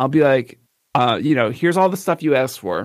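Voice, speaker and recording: A man speaks with a Philadelphia accent. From US Northeast, Philadelphia. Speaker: photographer and live streamer. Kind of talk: casual chat.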